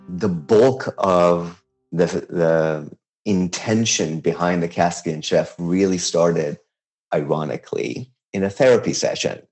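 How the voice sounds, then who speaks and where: A man's very deep, low voice in a Persian accent, with ordinary pitch variation. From Iran, Tehran. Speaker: chef and food blogger. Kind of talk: interview.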